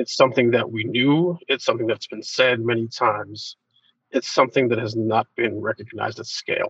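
This man talks at a fairly quick pace in an ordinary speaking voice, medium in pitch with fairly even intonation, and the sound is dry and close with no echo. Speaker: brand strategist, agency founder. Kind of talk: interview.

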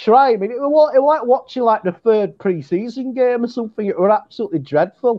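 Here is a man with an English accent and an extremely high pitch. His pace is fairly quick and his intonation lively. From England. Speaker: fan guest. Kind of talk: casual chat. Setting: video call.

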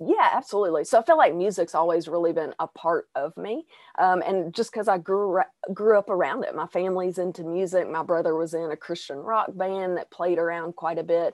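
A fairly low-pitched woman's voice at a fairly quick pace, with ordinary pitch variation and a dry, close sound with no echo against a quiet background. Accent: Arkansas. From Arkansas, US South. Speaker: singer and mental health podcaster. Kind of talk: casual interview.

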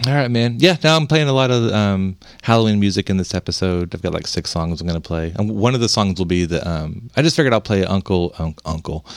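On a very clean recording with a silent background, a man with a fairly low pitch talks at a very fast pace with lively intonation. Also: hardly any pauses. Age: 50s. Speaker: podcast host. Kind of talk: casual chat.

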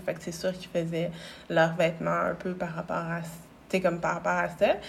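At a moderate pace, a woman with a Quebec accent speaks at a fairly low pitch with vocal fry. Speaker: clothing brand founder. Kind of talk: interview. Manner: calm, gentle.

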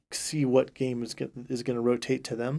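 A man with an American accent talks at a moderate pace in a dark, mellow tone. His intonation is monotone and flat, on a very clean recording with a silent background. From California, Central Valley. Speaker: marching band director. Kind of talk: casual interview.

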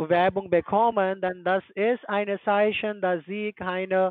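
Speaking with a non-native accent, the voice moves at a very slow pace. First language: not German (speaking German). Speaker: scam call-center agent. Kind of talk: phone sales pitch. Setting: phone call.

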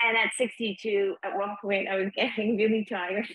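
Hers is a plain, everyday voice, a woman at medium pitch with fairly even intonation. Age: 60s. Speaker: founder of a sober community. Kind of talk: interview.

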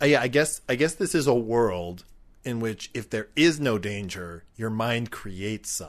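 A man with a medium-pitched voice and lively intonation speaks at a fairly slow pace over a quiet background. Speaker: podcast co-host. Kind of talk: casual chat. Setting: outdoors at a picnic table. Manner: varies between quiet and loud.

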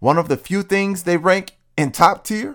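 The recording is very clean and its background silent. On it, a man talks with an American accent. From rural US. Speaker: podcast host and educator. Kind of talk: solo podcast monologue.

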